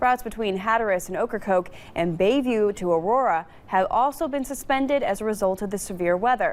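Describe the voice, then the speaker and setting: A woman with an American accent and a fairly high pitch speaks in a plain, everyday voice at a fairly quick pace, with lively intonation and hardly any pauses. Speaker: television news anchor. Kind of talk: TV news anchor delivery.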